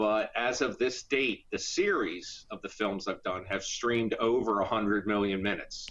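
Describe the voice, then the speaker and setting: A man with an American accent speaks at a medium pitch and a fairly slow pace. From US Northeast, Philadelphia area. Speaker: independent filmmaker and actor. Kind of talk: interview.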